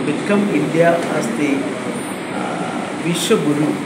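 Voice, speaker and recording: A man is speaking. Loud background noise fills the clip. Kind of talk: interview answer. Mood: calm, pleased. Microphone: handheld.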